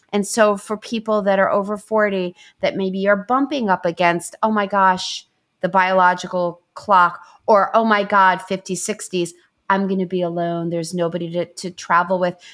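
A woman with an ordinary speaking voice, medium pitch and moderate pace. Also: fairly even intonation. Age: 50s. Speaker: love and relationship coach. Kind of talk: interview.

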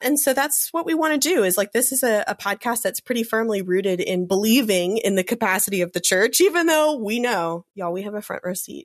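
A woman with an American accent talks at a fairly quick pace with hardly any pauses, her fairly high voice making very wide pitch swings, in a dry, close sound with no echo. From US South. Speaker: Episcopal priest and podcast co-host. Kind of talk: casual chat.

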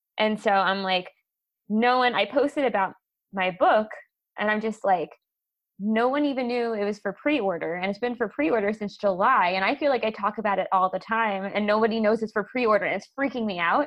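A woman with a normal speaking voice talks at a fairly quick pace and fairly high pitch, using ordinary pitch variation. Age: 30s. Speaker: podcast host. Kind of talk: casual interview chat.

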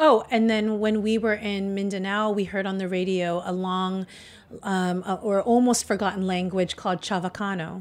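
Here a woman has a normal speaking voice and a moderate pace. Her intonation stays fairly even, on a very clean recording with a silent background. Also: medium pitch for a woman. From US, Filipino-American family. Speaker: restaurateur and cookbook author. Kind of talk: casual interview.

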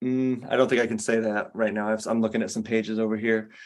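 A quiet background surrounds a man's voice. He speaks in a medium pitch with monotone, flat intonation. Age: 40s. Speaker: comic book artist. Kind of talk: interview.

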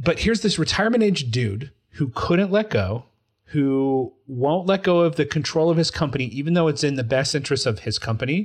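On a very clean recording with a silent background, a man with an American accent speaks at a moderate pace. He has lively intonation and an ordinary speaking voice. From Utah. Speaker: podcast co-host. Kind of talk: casual chat.

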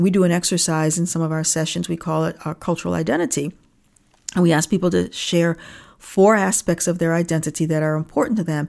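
A woman talks at a fairly quick pace with a normal speaking voice and fairly low pitch. Her intonation stays fairly even, and the recording is very clean with a silent background. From Niagara Falls, New York, US. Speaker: diversity consultant and author. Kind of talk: interview.

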